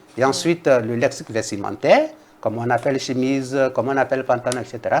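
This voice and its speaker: Over noticeable background noise, a man with a Togolese accent speaks very fast at a medium pitch with fairly even intonation. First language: Kabye (speaking French). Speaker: linguist. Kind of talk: interview. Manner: explanatory, measured.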